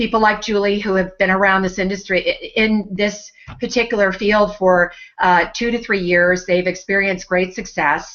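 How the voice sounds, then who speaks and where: Her intonation is monotone and flat, at a medium pitch for a woman. The woman's loudness stays very even throughout. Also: moderate pace. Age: 60s. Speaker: network marketing team member sharing her story. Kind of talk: personal testimony in a webinar hangout. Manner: hesitant, many fillers and repeats.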